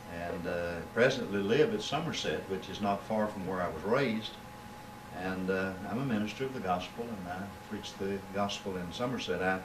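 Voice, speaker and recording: A man's fairly low voice at a moderate pace, with ordinary pitch variation, audible room echo and noticeable background noise. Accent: Kentucky. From Kentucky, south-central (Monticello). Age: 60s. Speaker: preacher. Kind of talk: interview. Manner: halting, many filler words.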